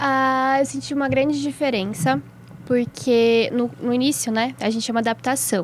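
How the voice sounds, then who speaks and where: A woman with a high voice speaks at moderate speed, her pitch varying in an ordinary way. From São Paulo state interior (Atibaia), Brazil. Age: 20s. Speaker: medical student. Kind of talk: casual chat.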